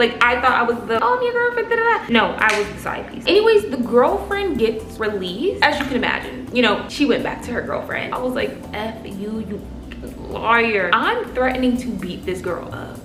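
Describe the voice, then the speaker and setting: A woman talks at a moderate pace with big swings in loudness over noticeable background noise. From Cleveland, Ohio, USA. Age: 20s. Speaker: lifestyle vlogger. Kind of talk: casual talk to camera. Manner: casual, chatty.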